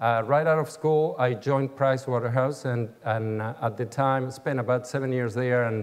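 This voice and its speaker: A medium-pitched man in an Argentine accent, with fairly even intonation. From Argentina, Buenos Aires. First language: Spanish. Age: 60s. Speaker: business executive. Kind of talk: keynote speech. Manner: halting, many fillers.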